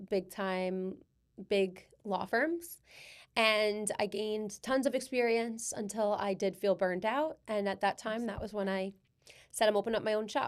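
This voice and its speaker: A woman with a strong New York accent talks at a moderate pace, her fairly high voice showing ordinary pitch variation. The recording is very clean, with a silent background. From Long Island, New York. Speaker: personal injury attorney. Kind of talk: casual chat.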